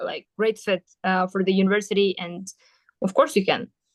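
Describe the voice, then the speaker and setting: A woman with a Kyrgyz accent at a moderate pace, in a dry, close sound with no echo. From Kyrgyzstan, Batken region (south). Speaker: university student. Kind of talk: interview. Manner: hesitant with fillers.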